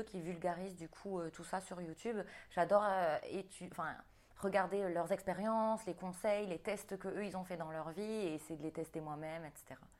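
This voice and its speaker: In a normal speaking voice, the speaker talks at a moderate pace with fairly even intonation and big swings in loudness. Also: woman. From New Caledonia. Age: 30s. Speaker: fitness coach and bodybuilding athlete. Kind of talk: casual interview.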